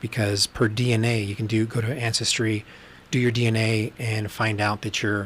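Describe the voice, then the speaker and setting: This man speaks with an American accent at a moderate pace. His pitch is fairly low and his intonation monotone and flat. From Texas. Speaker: podcast host. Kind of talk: casual livestream monologue. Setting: livestream.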